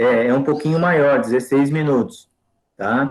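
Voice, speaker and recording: The speaker is a man with a fairly high pitch. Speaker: teacher. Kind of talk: online lecture.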